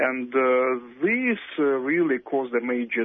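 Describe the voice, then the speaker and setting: Medium pitch, ordinary pitch variation and a normal speaking voice from a man. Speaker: academic on Russia and Ukraine. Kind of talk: interview.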